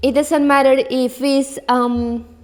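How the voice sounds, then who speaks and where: Someone speaks with a non-native accent and fairly even intonation. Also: woman. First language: not English. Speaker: belly dance teacher. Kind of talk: solo podcast talk. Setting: in front of a camera. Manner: halting.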